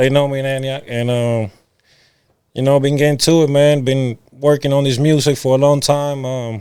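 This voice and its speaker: In a Cuban accent, a man with a dark, mellow tone and a fairly high pitch talks at a moderate pace with monotone, flat intonation. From Cuba, moved to Nashville at 11. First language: Spanish. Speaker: rapper. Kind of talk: casual podcast interview. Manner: casual, halting with fillers.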